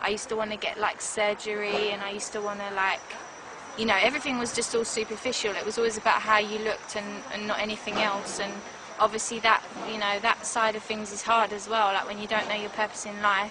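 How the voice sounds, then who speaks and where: Over noticeable background noise, a woman with a fairly high voice talks at a very fast pace in a monotone, flat intonation. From South London, England (Croydon). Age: 20s. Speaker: convert giving testimony. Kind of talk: testimony. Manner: casual, many fillers.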